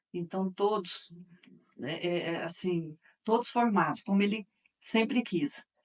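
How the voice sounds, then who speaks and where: A woman at a fairly slow pace, ordinary pitch variation and long, frequent pauses. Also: medium pitch for a woman. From Minas Gerais, Brazil (Campo Florido / Uberaba). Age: 60s. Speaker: interviewee, daughter of local politician. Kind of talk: interview testimony.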